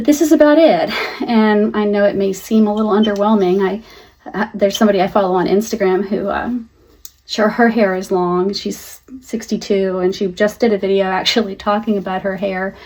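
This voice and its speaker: Speaking at a fairly quick pace, a woman uses an unremarkable speaking voice with medium pitch and ordinary pitch variation. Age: 60s. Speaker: lifestyle vlogger. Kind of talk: casual talk to camera.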